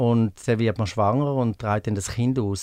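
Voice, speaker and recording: On a very clean recording with a silent background, a man talks in a normal speaking voice at medium pitch, moderate pace and fairly even intonation. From Switzerland, Appenzell Ausserrhoden. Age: 50s. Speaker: pool attendant. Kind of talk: interview.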